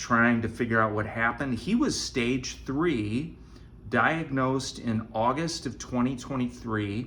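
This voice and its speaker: Audible room echo fills the recording. The talking is very slow. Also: man. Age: 60s. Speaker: vlogger with stage 4 colon cancer. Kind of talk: casual vlog monologue. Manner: halting.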